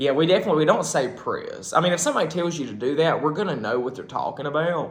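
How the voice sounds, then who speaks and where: With a strong Southern US accent, a man talks at a fairly quick pace with ordinary pitch variation. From South Carolina. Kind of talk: casual talk to camera.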